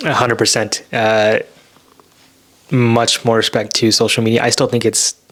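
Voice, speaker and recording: With an American accent, the mumbled speech comes in monotone, flat intonation at very even loudness, broken by long, frequent pauses over noticeable background noise. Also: man, medium pitch for a man, moderate pace. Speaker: podcast co-host, software engineer. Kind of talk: casual chat. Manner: soft-spoken; mumbling.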